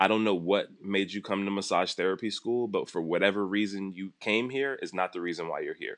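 An ordinary speaking voice with an American accent, a fairly quick pace and fairly even intonation, over a quiet background. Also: man. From Los Angeles. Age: 30s. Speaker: massage therapist. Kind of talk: casual interview.

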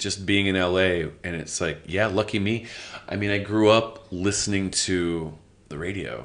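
A man talks at a fairly slow pace. His very deep, low pitch shows ordinary pitch variation. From Los Angeles, US. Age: 30s. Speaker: comedian. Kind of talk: casual chat. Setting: Edinburgh Fringe.

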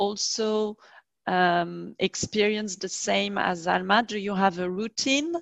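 A woman speaks at a very slow pace with a French accent, her pitch in the medium range. The sound is dry and close with no echo, over a quiet background. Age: middle-aged. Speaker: language teacher and podcast host. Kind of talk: interview. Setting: video call.

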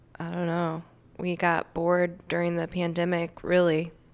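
With an unremarkable speaking voice, a woman talks at a fairly slow pace in a fairly low pitch. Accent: American. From Saint Louis, Missouri. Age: 30s. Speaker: singer. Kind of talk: casual chat. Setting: studio.

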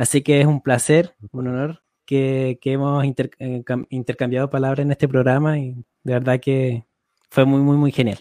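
A man talks at a moderate pace in a monotone, flat intonation with a dark, mellow tone. The sound is dry and close, with no echo. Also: medium pitch for a man. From Chile. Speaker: podcast co-host. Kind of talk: casual chat.

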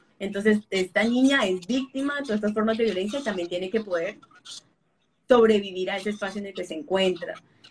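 A somewhat breathy, medium-pitched woman's voice at a very fast pace, with ordinary pitch variation. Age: 30s. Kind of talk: interview.

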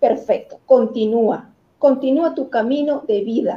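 Her high voice shows ordinary pitch variation as this woman speaks. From Venezuela. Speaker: motivational coach. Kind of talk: talk show interview.

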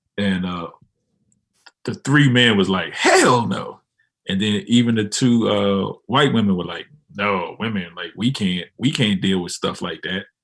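An American accent marks this man's fairly low-pitched voice. He moves at a fairly slow pace with ordinary pitch variation. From Washington DC. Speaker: podcast host. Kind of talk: casual banter between co-hosts. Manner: animated, joking.

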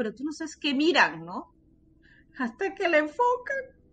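A woman is speaking. Her pitch swings very widely. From Peru. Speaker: podcaster. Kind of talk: casual chat.

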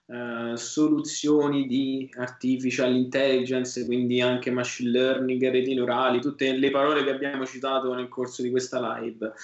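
Hardly pausing at all, the speaker keeps a moderate pace and monotone, flat intonation amid noticeable background noise. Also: man, medium pitch for a man. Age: 20s. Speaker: software engineer and tech executive. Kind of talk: casual chat.

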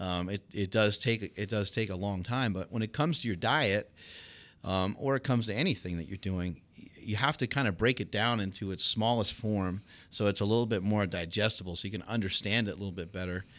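A man talks at a fairly quick pace in an ordinary speaking voice, fairly low with ordinary pitch variation. The recording is very clean, with a silent background. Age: 40s. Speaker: former champion powerlifter and fitness entrepreneur. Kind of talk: casual interview conversation.

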